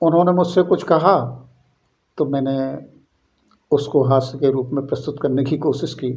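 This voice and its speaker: A man with a fairly high pitch and a somewhat breathy voice talks with long, frequent pauses. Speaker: poet. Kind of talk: casual talk to camera.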